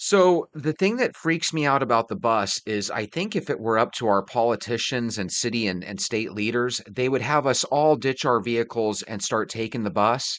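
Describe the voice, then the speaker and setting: This man talks at a moderate pace with medium pitch and lively intonation, recorded with a dry, close sound with no echo. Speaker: video commentator. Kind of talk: casual reaction commentary. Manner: loud.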